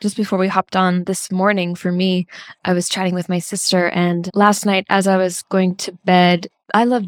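A woman's medium-pitched, monotone voice at a moderate pace, with flat intonation and a dry, close sound with no echo. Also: very clean recording, silent background. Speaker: podcast host. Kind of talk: scripted intro then interview chat.

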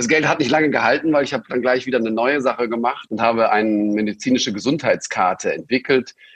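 A man at medium pitch, talking at a very fast pace with ordinary pitch variation. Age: 50s. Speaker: entrepreneur and investor. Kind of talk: interview. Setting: remote recording. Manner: hesitant fillers.

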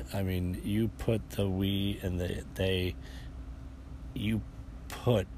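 A man with an American accent speaks in a very deep, low voice with vocal fry and lively intonation, leaving long, frequent pauses. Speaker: podcast host and stand-up comedian. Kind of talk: casual solo chat show. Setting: outdoors on a front porch. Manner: relaxed, rambling, halting with repeats.

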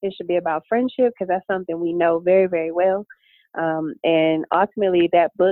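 An unremarkable speaking voice, this woman talks at a fairly quick pace and medium pitch with ordinary pitch variation and an American accent. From Detroit, Michigan. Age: 30s. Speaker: author and entrepreneur. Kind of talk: podcast interview.

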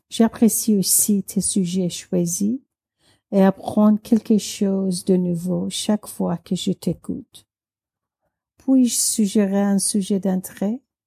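A woman's somewhat breathy, dark, mellow voice at a very slow pace, dry and close with no echo, in a very clean recording with a silent background. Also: medium pitch for a woman. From Iran. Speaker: listener and French learner. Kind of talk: recorded voice message.

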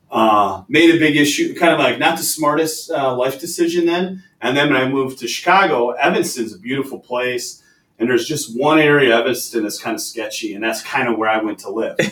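A man talks at a fairly quick pace with an Upper Midwest accent. His pitch variation is ordinary. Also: fairly high pitch for a man, hardly any pauses. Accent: Upper Midwest American. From Wisconsin, Green Bay. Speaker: logistics executive. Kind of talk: interview. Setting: office.

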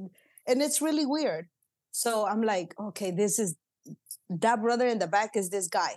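Lively intonation at a fairly slow pace in a Spanish accent, against a quiet background. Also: woman, fairly high pitch for a woman. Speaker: pastor. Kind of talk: casual interview, Spanish-English code-switching. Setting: office, remote recording.

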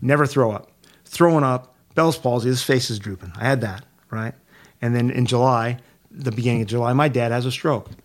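This man has an ordinary speaking voice at a medium pitch with ordinary pitch variation. He talks at a fairly quick pace. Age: 60s. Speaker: prostate cancer patient. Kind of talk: casual chat.

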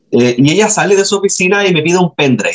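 With a Chilean accent, this man speaks at a high pitch and with lively intonation. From Chile, Antofagasta. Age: 30s. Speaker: writer. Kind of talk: casual interview.

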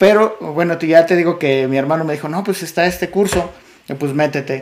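Speaking in a plain, everyday voice, a man with a fairly high pitch uses ordinary pitch variation. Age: 30s. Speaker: podcast host. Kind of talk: casual chat.

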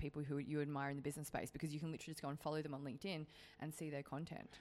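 A woman speaks with a very deep, low pitch and an animated, playful tone. The recording is very clean, with a silent background. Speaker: podcast co-host, business content creator. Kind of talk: casual banter chat. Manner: animated, laughing, playful.

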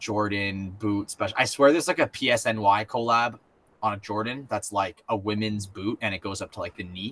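An unremarkable speaking voice with ordinary pitch variation, at a moderate pace. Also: man. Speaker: podcast co-host. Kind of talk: casual chat.

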